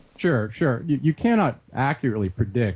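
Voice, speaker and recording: Somewhat breathy, a man talks in a dark, mellow tone with lively intonation. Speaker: researcher and author. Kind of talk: interview. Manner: fast.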